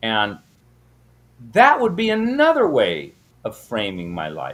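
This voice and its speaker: Speaking at a fairly slow pace in an American accent, a man's voice shows big swings in loudness. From US West Coast, San Diego. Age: 60s. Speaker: minister and math teacher. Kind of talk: casual interview. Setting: podcast.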